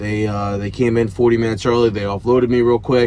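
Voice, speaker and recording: Fairly even intonation carries this man's speech. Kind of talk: casual vlog chat. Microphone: headset.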